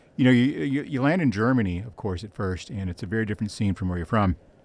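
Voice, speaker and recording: Speaking at a very fast pace with lively intonation, a man talks with an American accent. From United States. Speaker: podcast host and writer. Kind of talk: podcast interview.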